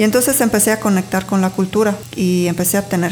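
Over noticeable background noise, a woman talks at a fairly quick pace in a medium pitch with fairly even intonation. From Sardinia, Italy. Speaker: spiritual healer and workshop teacher. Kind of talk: casual interview.

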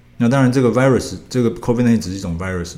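A man's dark, mellow voice with ordinary pitch variation and audible room echo. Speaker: liver surgeon. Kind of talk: interview.

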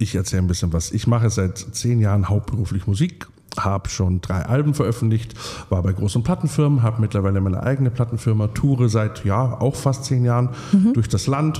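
Over noticeable background noise, a man talks at a fairly quick pace with a medium pitch. His loudness is very even, and his pitch varies in an ordinary way. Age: 30s. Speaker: singer-songwriter. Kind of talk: casual chat. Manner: animated.

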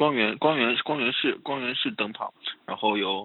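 Behind the speaker there is noticeable background noise. He is a man talking at a moderate pace, his pitch varying in an ordinary way. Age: 20s. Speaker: guest on chat podcast. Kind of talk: casual chat.

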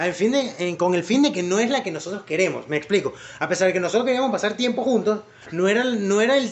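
Over noticeable background noise, a man with a high voice talks very fast in a Venezuelan accent. His tone is animated. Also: ordinary pitch variation. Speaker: podcast host. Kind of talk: casual chat.

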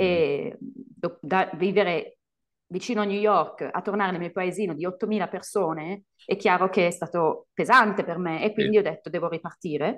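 A woman talks in a plain, everyday voice at medium pitch. Her pace is moderate, with ordinary pitch variation. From Italy. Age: 30s. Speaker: English teacher. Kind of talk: casual chat.

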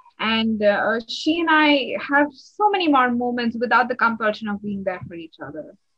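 A high-pitched woman with an Indian accent speaks at a moderate pace with hardly any pauses, lively intonation and big swings in loudness. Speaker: energy healing facilitator. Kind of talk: casual interview. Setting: call.

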